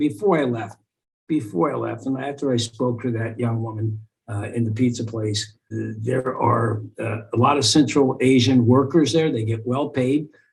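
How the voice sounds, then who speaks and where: A somewhat breathy man at a moderate pace. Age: 60s. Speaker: radio host, activist and comedian. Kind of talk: interview. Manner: halting, many repetitions and fillers.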